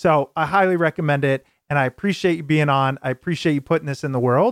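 A man talks at a very fast pace, his pitch fairly high with ordinary variation. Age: 20s. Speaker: podcast host. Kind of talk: interview; show intro.

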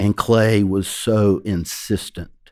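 A man with a Georgia accent, fairly low in pitch, dark and mellow in tone, on a very clean recording with a silent background. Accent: Georgia Southern US. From Georgia, US South. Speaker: magazine founder and editor. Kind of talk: casual interview.

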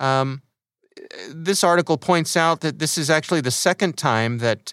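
The voice is a plain, everyday voice, moving at a moderate pace with ordinary pitch variation. The recording is very clean and silent behind, with a dry, close sound and no echo. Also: man. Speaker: podcast host. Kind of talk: casual podcast hosting.

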